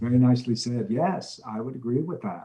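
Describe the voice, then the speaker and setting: A man with a plain, everyday voice talks at a medium pitch and a fairly quick pace. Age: 60s. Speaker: motivational speaker and mentor. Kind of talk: interview. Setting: video call.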